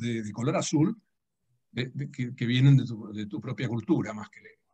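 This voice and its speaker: A man's medium-pitched voice with ordinary pitch variation, music playing in the background. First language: Dutch (speaking Spanish). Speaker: writer and translator. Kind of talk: public conversation. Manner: halting.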